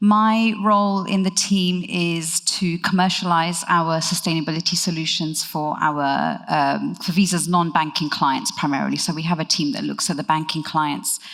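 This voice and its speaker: Against noticeable background noise, a woman with a fairly low pitch speaks at a moderate pace with hardly any pauses and ordinary pitch variation. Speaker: corporate sustainability director, conference panelist. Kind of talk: conference presentation. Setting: stage with audience at conference. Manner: conversational with frequent fillers (um, uh).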